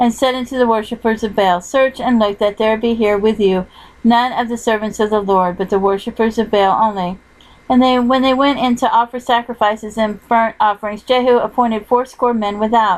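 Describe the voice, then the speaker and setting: A woman with a normal speaking voice talks with fairly even intonation, her pitch fairly high. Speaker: audiobook narrator. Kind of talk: scripture reading.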